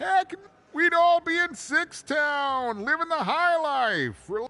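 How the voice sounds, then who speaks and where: A put-on character voice is used here. It moves fairly slowly. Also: man, extremely high pitch for a man. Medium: video game. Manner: rambling, good-natured, halting.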